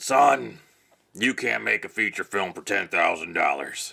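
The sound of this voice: In a put-on character voice, a man sounds gruff and fairly low-pitched, talking at a moderate pace.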